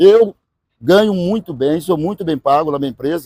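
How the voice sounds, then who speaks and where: This man's voice has a dark, mellow tone. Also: dry, close sound with no echo. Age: 50s. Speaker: radio host. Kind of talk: casual chat. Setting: podcast. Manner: loud; animated.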